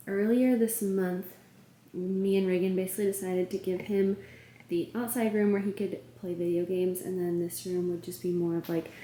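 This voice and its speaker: The woman's tone is dark and mellow, and her intonation is fairly even. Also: medium pitch for a woman, fairly quick pace. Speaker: lifestyle vlogger. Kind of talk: casual vlog. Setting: home studio room.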